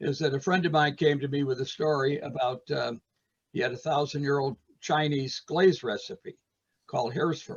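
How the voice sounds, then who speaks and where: Here a man talks at a fairly quick pace, fairly high in pitch and somewhat breathy. His tone is animated. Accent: American. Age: 80s+. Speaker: retired art teacher and potter. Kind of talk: casual interview. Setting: video call, audio only. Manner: animated storytelling.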